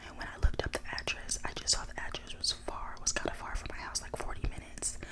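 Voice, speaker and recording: A woman whispers at a fairly quick pace with an American accent, with noticeable background noise behind her. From Dallas, Texas. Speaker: ASMR creator. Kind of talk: casual storytime to camera. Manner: whispered.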